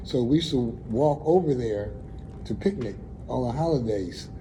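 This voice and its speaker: Audible room echo surrounds a man with an American accent. His pitch is medium and his intonation lively. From Buffalo, New York (east side). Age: 70s. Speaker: community resident. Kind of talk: interview. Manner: halting.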